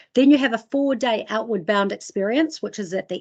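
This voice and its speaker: This is a woman speaking. She has a New Zealand accent. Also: quiet background. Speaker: sustainability training presenter. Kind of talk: webinar presentation. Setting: online webinar. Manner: fast.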